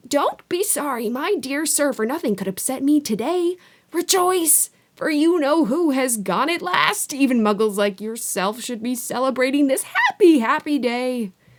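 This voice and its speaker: Squeaky and high, a woman's put-on character voice leaps through very wide pitch swings. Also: moderate pace. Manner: cheerful, gleeful.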